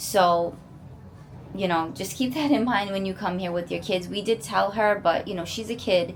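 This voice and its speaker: A woman with a medium pitch and ordinary pitch variation talks at a moderate pace in a plain, everyday voice. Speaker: family vlogger. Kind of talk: casual vlog update to camera. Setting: resort hotel room.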